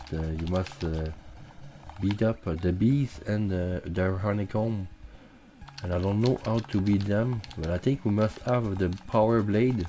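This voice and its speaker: A man with a Quebec accent speaks at a fairly slow pace, his fairly low voice rising and falling in an ordinary way. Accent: French Canadian accent in English. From Quebec, Canada. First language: French. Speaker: gaming streamer. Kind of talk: live gameplay commentary. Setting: live stream. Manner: halting, many fillers.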